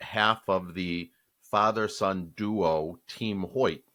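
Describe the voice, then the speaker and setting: On a very clean recording with a silent background, a man with a Boston accent speaks very slowly in a bright, sharp tone, pitched fairly low with ordinary pitch variation. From Boston area, Massachusetts. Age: 60s. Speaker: podcast co-host. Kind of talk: casual chat.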